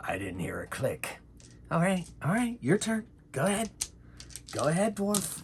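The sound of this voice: In a put-on character voice, a man speaks fairly slowly at a high pitch with very wide pitch swings.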